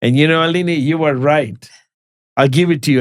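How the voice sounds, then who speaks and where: A man's fairly high, normal speaking voice at a fairly quick pace, with ordinary pitch variation. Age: 60s. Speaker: podcast host. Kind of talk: podcast interview.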